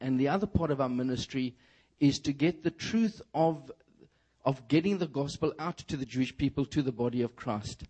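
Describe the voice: A man with a South African accent, fairly high in pitch, at a moderate pace.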